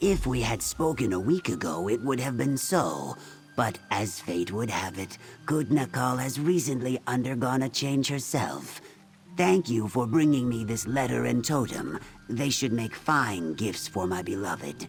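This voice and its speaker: A man uses a cartoonish character voice at a medium pitch and moderate pace. Clear music plays in the background. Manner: calm, gentle.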